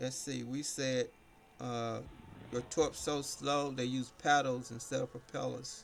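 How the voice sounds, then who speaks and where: A man's flat, monotone voice at a medium pitch, with an American accent and a fairly slow pace. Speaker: game streamer. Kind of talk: casual live stream chat. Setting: live stream. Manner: rambling, halting.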